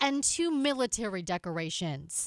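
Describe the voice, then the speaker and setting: In a very clean recording with a silent background and a dry, close sound with no echo, a woman speaks at a fairly high pitch with very wide pitch swings. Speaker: TV news reporter. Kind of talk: TV news report narration.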